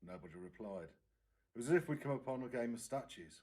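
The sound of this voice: At a fairly quick pace, the slightly mellow voice moves through ordinary pitch variation amid audible room echo. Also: man.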